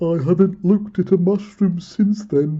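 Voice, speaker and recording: A middle pitch carries this voice. It is a put-on character voice. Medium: read story. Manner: mild, earnest.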